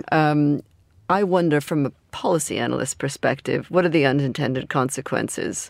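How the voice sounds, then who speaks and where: Speaking with an American accent, a woman has a very deep, low pitch and fairly even intonation at a moderate pace. The recording is very clean, with a silent background. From US, California. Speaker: geopolitical strategist. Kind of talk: studio panel discussion. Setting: studio.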